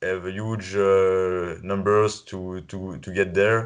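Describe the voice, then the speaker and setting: This man talks at a very slow pace. He has a French accent. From France. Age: 20s. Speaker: podcast co-host and coach. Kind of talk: casual interview. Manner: halting.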